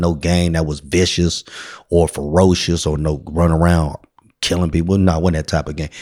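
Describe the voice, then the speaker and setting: In a very clean recording with a silent background, a man with a Bay Area accent speaks fairly quickly in a very deep, low voice. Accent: Bay Area urban American English. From San Francisco, South of Market. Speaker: community organization founder. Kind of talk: casual interview. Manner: animated.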